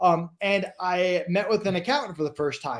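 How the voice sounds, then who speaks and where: The man's voice sits at a high pitch. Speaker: entrepreneur, business podcast guest. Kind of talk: live stream interview. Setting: live video stream. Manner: fast.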